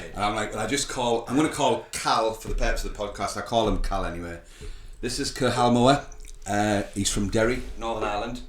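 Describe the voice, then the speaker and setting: A man's fairly quick speech with fairly even intonation and audible room echo. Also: medium pitch for a man. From UK, grew up on a council estate. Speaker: podcast host. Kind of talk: interview.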